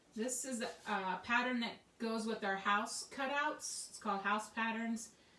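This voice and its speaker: A woman's fairly high voice at a fairly slow pace, with fairly even intonation and big swings in loudness, amid noticeable background noise and audible room echo. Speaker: craft tutorial host. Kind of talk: tutorial. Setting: home craft studio. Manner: casual, chatty.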